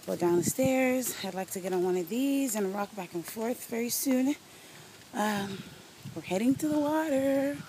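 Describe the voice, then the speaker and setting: A woman speaks with lively intonation at a moderate pace. Background noise is noticeable. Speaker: travel vlogger. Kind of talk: walking video diary. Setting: outdoors at a resort. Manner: casual, meandering with fillers.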